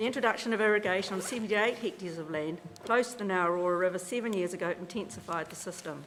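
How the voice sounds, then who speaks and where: A woman talks at a very fast pace in a New Zealand accent. Her pitch is medium, with ordinary pitch variation. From New Zealand, South Canterbury. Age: 50s. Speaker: farmer. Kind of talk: casual explanation; public hearing submission, reading prepared statement.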